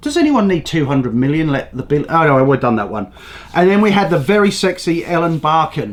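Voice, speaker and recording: With an English accent, a man speaks in a fairly high pitch, his tone animated and his intonation lively. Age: 60s. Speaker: news commentary show host. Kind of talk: casual opinionated monologue. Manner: rambling, animated.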